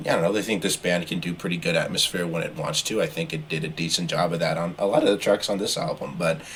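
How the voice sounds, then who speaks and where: Talking at a very fast pace with hardly any pauses, a man comes through over noticeable background noise. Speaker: podcast co-host, music reviewer. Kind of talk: casual chat.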